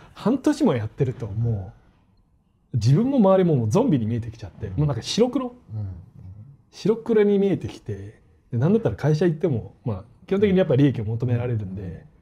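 A man talks at a fairly quick pace in a fairly high pitch, his dark, mellow tone somewhat breathy, with very wide pitch swings against a quiet background. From Australia. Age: 40s. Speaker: football YouTuber. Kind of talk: casual interview.

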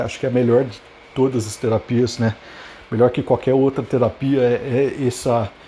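This man talks with a Brazilian accent. His pitch sits at a medium level. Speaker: podcaster. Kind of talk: unscripted solo monologue. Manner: halting, many filler repetitions.

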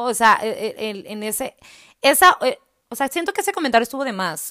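Spoken in a northern Mexican accent, the voice is animated, with a bright, sharp tone and very wide pitch swings. The recording is very clean, with a silent background. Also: woman. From Mexico, Hermosillo (Sonora). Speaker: podcast host. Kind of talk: personal monologue.

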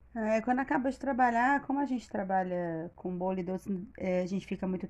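Speaking at a moderate pace, a woman has a medium pitch and a dark, mellow tone. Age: 30s. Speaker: baker. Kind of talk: casual interview.

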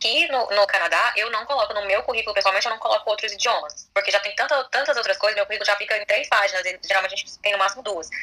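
A woman's voice sits at a medium pitch, and its pitch varies in an ordinary way. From Brazil. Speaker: lawyer. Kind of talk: casual chat.

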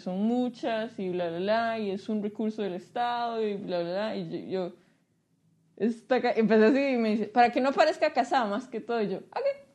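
A woman's ordinary speaking voice, fairly high in pitch, at a moderate pace with ordinary pitch variation and big swings in loudness. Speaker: podcast host. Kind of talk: casual chat.

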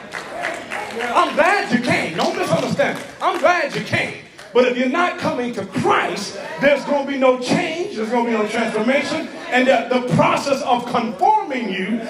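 Over crowd noise in the background, a man with an extremely high pitch speaks at a moderate pace, his tone animated and his intonation lively. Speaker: preacher. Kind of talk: sermon, preacher in full flow, rallying a live congregation with call-and-response. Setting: church with congregation. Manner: animated, loud, fervent, exhorting the crowd with shouted refrains.

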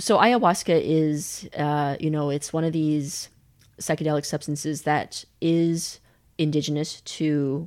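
In a very clean recording with a silent background, a woman with a Western Canadian accent and a very deep, low pitch speaks at a fairly slow pace. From Canada (Calgary), born in China. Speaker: podcaster and storyteller. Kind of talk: casual interview conversation. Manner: hesitant, many fillers.

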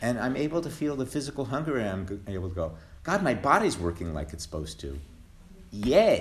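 A man at medium pitch talks at a fairly quick pace with very wide pitch swings. Vocal fry runs through his voice. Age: 60s. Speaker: twelve-step meeting speaker. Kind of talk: testimony. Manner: halting.

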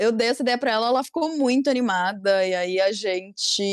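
A woman with an unremarkable speaking voice talks at a fairly slow pace in a fairly high pitch. The sound is dry and close with no echo, on a very clean recording with a silent background. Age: 20s. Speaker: youtuber. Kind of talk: casual chat.

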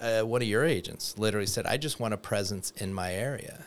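An unremarkable speaking voice from a man, fairly low in pitch with ordinary variation and a fairly quick pace, on a very clean recording with a silent background. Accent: American. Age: 50s. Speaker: mortgage loan officer. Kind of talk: casual chat.

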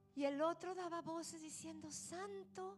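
A woman's animated tone amid noticeable background noise. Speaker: pastor. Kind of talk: sermon. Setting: church with congregation. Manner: fervent, prayerful; animated, exhortative, repeating phrases.

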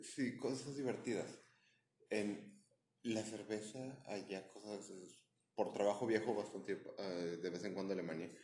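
A man's fairly low, dark, mellow voice in a Mexican accent, with ordinary pitch variation and a fairly slow pace, in audible room echo. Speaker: podcast co-host. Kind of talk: casual chat.

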